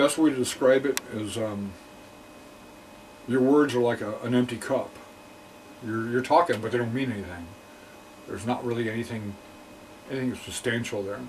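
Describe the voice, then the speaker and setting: Long, frequent pauses break up the speech amid noticeable background noise. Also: man, medium pitch for a man, ordinary pitch variation, moderate pace. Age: 60s. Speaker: film archivist sharing personal testimony. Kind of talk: testimony. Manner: halting, many fillers and repetitions.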